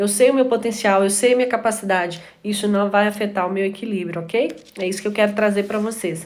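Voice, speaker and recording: A woman speaking at a fairly quick pace with fairly even intonation, with audible room echo. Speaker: live stream host. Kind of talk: live stream talk. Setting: live stream. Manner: fast.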